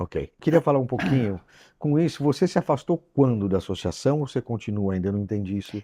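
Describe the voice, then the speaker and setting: With a dark, mellow tone and lively intonation, the voice moves at a fairly quick pace, with a dry, close sound with no echo against a quiet background. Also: man, medium pitch for a man. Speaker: talk show host. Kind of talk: interview questions.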